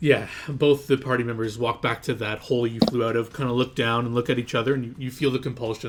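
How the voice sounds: The voice reads naturally, keeping its intonation fairly even.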